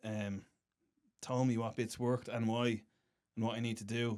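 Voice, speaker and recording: A man talks at a moderate pace in a medium-pitched, monotone, flat voice. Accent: Irish. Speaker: stand-up comedian. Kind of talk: casual chat.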